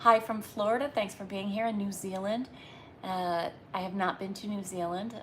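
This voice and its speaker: In a Northeastern US accent, a woman speaks at a medium pitch with a bright, sharp tone. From Massachusetts, US Northeast. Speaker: livestreamer. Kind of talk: casual live chat. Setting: live stream at home.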